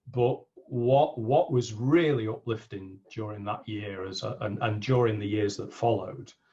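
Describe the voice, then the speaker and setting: A man speaks at a moderate pace and medium pitch, with ordinary pitch variation. His is an unremarkable speaking voice. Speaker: business coach. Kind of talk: interview.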